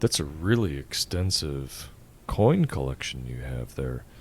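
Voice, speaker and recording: A soft-spoken man with a very deep, low pitch, somewhat breathy and calm in tone, at a very slow pace with very wide pitch swings. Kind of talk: ASMR roleplay, calm-spoken. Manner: calm, soft-spoken.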